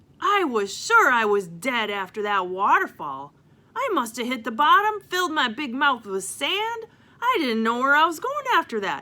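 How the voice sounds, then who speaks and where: A put-on character voice carries the delivery. It proceeds at a moderate pace. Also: woman. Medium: read story. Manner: rambling, exclaiming.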